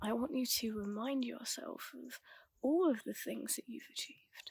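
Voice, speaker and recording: Calm in tone, a woman speaks at a fairly slow pace. Her pitch is fairly high, with ordinary variation. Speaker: ASMR and mindset content creator. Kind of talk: ASMR affirmations / guided mindset talk. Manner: soft-spoken, calm, slow.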